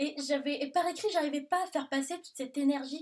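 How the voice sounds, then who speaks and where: Fairly quick, high-pitched speech from a woman with a southern French accent. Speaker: book vlogger. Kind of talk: casual Q&A video monologue. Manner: loud; animated.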